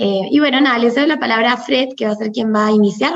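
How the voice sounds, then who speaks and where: A woman is talking. Her voice is pitched fairly high. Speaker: recruiter. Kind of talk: event introduction.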